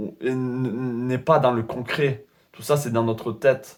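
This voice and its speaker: A man's medium-pitched voice at a very slow pace, with fairly even intonation. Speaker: tarot reader. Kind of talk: tarot reading video. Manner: monotone.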